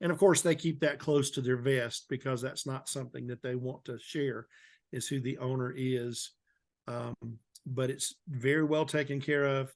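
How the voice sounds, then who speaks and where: Over a quiet background, a man with a plain, everyday voice talks at medium pitch and a moderate pace with fairly even intonation. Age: 60s. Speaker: historian. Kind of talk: interview.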